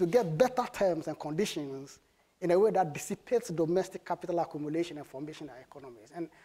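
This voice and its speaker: A man with a high-pitched voice speaks at a fairly quick pace, his dark, mellow tone carried by lively intonation. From Ghana. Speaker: panelist on development policy. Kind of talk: panel talk.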